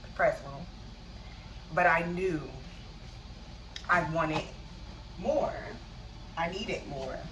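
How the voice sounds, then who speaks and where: Speaking at a very slow pace with long, frequent pauses, a woman of fairly low pitch shows ordinary pitch variation, with audible room echo and noticeable background noise. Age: 30s. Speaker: vlogger. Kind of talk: personal vlog monologue. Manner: halting.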